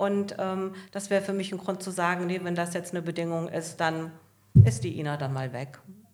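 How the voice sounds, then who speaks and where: There is audible room echo as a woman talks at a moderate pace, her pitch fairly low with ordinary variation. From Hesse, Germany (northern Hesse). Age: 60s. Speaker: hotline employee. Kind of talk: casual interview. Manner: calm.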